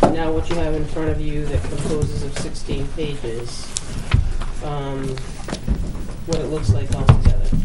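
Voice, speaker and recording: Moderate pace against loud background noise. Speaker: town administrator. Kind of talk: town board budget meeting. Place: meeting room. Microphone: camera far.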